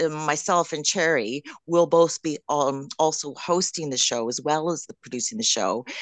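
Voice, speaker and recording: Recorded dry and close with no echo over a quiet background, a woman with a Canadian accent has an unremarkable speaking voice, fairly low in pitch with lively intonation. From Canada. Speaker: drag king performer. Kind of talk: radio interview.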